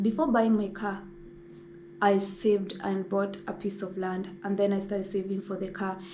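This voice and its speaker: Monotone, flat speech from a woman at medium pitch and moderate pace, with audible room echo and noticeable background noise. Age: 20s. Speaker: lifestyle vlogger. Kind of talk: casual sit-down talk.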